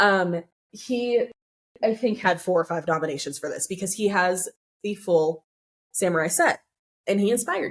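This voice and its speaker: A woman with a Californian accent talks with long, frequent pauses. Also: medium pitch for a woman, ordinary pitch variation, moderate pace. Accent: General American (Californian). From Southern California. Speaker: collector. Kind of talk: casual interview chat. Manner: stutters when excited.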